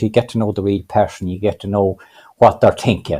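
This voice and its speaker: A man speaks with a Cavan accent. His fairly low voice has a dark, mellow tone. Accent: Irish, Cavan. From Ireland, County Cavan. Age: 60s. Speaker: adult literacy learner. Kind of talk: panel interview. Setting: video call. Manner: halting, many repetitions.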